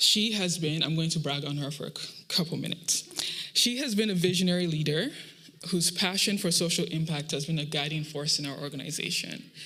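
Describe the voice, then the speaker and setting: The speaker talks at a fairly quick pace. There is a Nigerian accent. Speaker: program manager at a startup accelerator. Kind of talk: closing speech at a pitch showcase.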